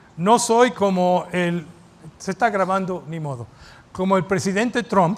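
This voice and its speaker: A man talks fairly slowly in a high voice with ordinary pitch variation. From mixed Cuban-American family, raised partly in the US. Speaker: pastor. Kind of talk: sermon. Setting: church auditorium, live-streamed.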